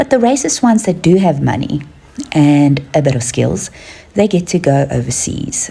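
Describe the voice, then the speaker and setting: Lively intonation carries the speech at a moderate pace, with noticeable background noise. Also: woman. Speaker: social media commentator. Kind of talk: opinion commentary to camera.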